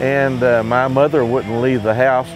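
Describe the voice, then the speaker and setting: There is noticeable background noise. A man with an Appalachian accent talks with ordinary pitch variation. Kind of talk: interview answer.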